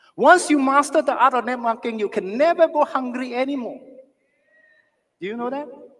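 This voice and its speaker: Speaking at a fairly quick pace, a man uses an extremely high pitch and an animated tone. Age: 60s. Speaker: network marketing leader. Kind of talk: motivational talk.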